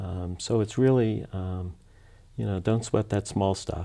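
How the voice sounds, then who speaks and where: At a moderate pace, a man with a very deep, low pitch speaks in a dark, mellow tone with fairly even intonation. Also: very clean recording, silent background. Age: 60s. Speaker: food bank executive director. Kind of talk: interview. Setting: studio. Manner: halting.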